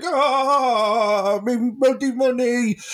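A put-on character voice with a fairly high pitch is heard over noticeable background noise. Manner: grumpy, angry.

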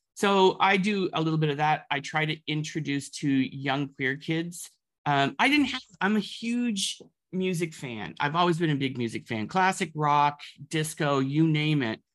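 A man with a Canadian accent speaks at a moderate pace in a plain, everyday voice, his fairly high pitch moving with ordinary variation against a quiet background. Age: 50s. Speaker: music curator and arts administrator. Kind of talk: casual interview. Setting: remote call.

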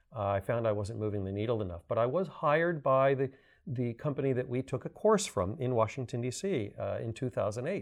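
A man with a plain, everyday voice, an American accent, medium pitch and a fairly quick pace. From US South, Miami, Florida. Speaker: climate advocate and adjunct green building lecturer. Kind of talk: interview.

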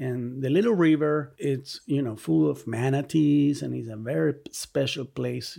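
In an ordinary speaking voice, the speaker keeps a moderate pace with hardly any pauses, lively intonation and big swings in loudness. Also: man, fairly high pitch for a man. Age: 40s. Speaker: artist, filmmaker and professor. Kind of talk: casual interview.

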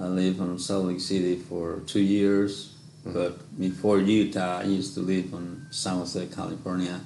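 A man with a Mexican accent talks at a moderate pace. His pitch is very deep and low, and his intonation fairly even. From Mexico. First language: Spanish. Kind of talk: casual interview. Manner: halting, non-fluent English.

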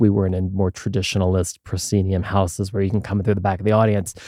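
With an American accent, a man talks at a very fast pace in a very deep, low pitch and a dark, mellow tone, his intonation monotone and flat, on a very clean recording with a silent background. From Philadelphia, US. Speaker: podcast host and graduate student. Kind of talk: casual interview chat. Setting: studio.

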